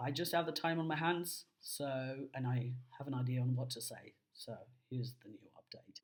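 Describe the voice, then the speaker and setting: A man speaks at a moderate pace with a fairly high, somewhat breathy voice. His loudness swings widely. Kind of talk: personal video diary. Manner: hesitant, many fillers.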